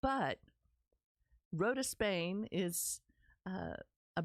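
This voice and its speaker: A woman with a Texas accent speaks at a medium pitch in an animated tone with lively intonation. The recording is very clean with a silent background and a dry, close sound with no echo. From Texas, Dallas-Fort Worth area. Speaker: podcast host, women's community founder. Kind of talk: personal storytelling podcast.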